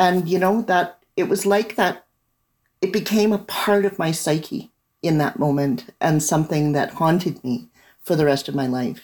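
With a Canadian accent, a woman of fairly low pitch talks at a moderate pace with lively intonation and very even loudness. She has a plain, everyday voice. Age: 60s. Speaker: novelist and lawyer. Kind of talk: interview. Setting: remote call.

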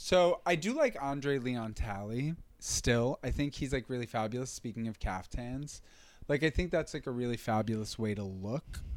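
A plain, everyday voice from a man at medium pitch, moderate in pace with ordinary pitch variation, on a very clean recording with a silent background. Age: 30s. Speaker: comedian and podcast co-host. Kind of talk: casual chat.

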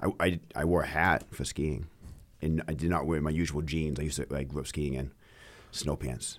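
Vocal fry runs through a man's very deep, low voice as he speaks at a moderate pace with fairly even intonation. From Maine. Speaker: podcast co-host. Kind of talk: casual chat.

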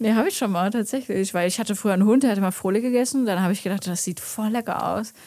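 Here a woman speaks very fast, her tone dark and mellow. Her pitch is medium, with ordinary pitch variation. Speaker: podcast host guest. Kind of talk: casual chat. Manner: soft-spoken. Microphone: too far from the mic.

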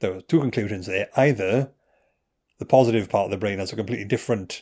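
A fairly low-pitched man with a Welsh accent, fairly even intonation, and a very clean recording with a silent background. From Wales. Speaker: neuroscientist and comedian. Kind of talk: casual chat.

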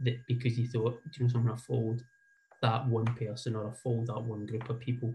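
Somewhat breathy, a man with a Scottish accent speaks at a medium pitch in a dark, mellow tone. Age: 40s. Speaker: football association community development manager. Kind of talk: talk with slides. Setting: video call.

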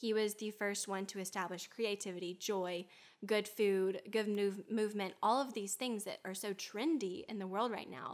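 In a Southern US accent, a woman talks at a moderate pace and a medium pitch. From US South, Alabama. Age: 20s. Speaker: health and wellness guest. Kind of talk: casual chat. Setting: in-person studio.

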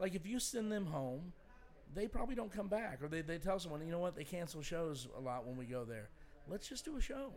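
A man with an American accent, high pitch, very wide pitch swings and a fairly quick pace. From Indianapolis, Indiana, US Midwest. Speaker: stand-up comedian. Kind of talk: casual chat.

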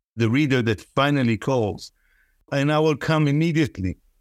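In a very clean recording with a silent background and a dry, close sound with no echo, a man with an Israeli accent speaks at a fairly high pitch with lively intonation. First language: Hebrew. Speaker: poet and professor. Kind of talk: interview conversation, with poem readings. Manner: reads the Hebrew poem aloud, rhythmic, musical, savoring sounds.

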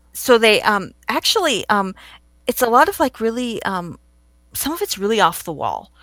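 A woman speaks in an ordinary speaking voice, fairly high-pitched, at a moderate pace with lively intonation. The recording is very clean, with a silent background. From California. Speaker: film blogger and preservationist. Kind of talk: casual interview.

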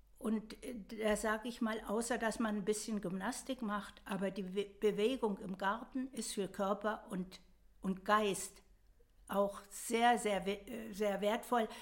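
A woman's fairly high, flat, monotone voice at a very slow pace. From western Germany. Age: 80s+. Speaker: grandmother and gardener. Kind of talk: casual interview.

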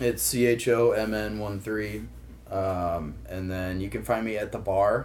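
With an American accent and lively intonation, a man speaks fairly slowly in a room with audible echo. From St. Louis, Missouri (Kirkwood). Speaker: bar manager. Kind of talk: casual chat.

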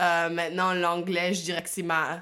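This is a woman speaking. Her pitch is fairly low. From Ottawa, Ontario, Canada. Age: 20s. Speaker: interviewee, family member. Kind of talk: interview.

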